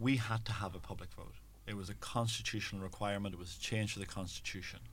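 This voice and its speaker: This man talks very fast with a Donegal Irish accent. His voice is fairly low, with ordinary pitch variation. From Ireland, Donegal. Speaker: LGBT rights campaigner. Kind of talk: interview.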